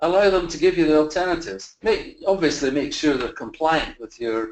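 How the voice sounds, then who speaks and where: A man with a Scottish accent speaks at a fairly quick pace, his fairly high pitch carrying lively intonation. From Scotland. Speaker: facilities management consultant. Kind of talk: webinar presentation. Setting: online virtual conference. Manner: halting, many fillers and repeats.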